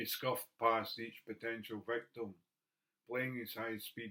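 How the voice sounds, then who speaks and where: Here a man with a Scottish accent speaks at a medium pitch and a fairly slow pace. His tone is bright and sharp, and his intonation is monotone and flat. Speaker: poet. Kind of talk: poetry reading.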